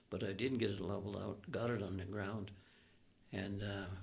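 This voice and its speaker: Vocal fry marks a man's fairly low voice. He keeps a moderate pace with ordinary pitch variation. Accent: Canadian. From Alberta, Canada. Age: 80s+. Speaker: retired air force pilot. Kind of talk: interview answer, storytelling.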